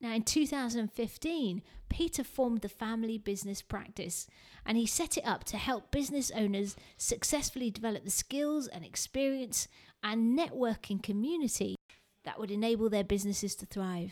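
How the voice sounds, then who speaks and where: Speaking at a moderate pace with a British accent, a woman uses a fairly high pitch and lively intonation on a very clean recording with a silent background. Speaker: podcast host and speaking coach. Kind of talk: podcast intro and interview.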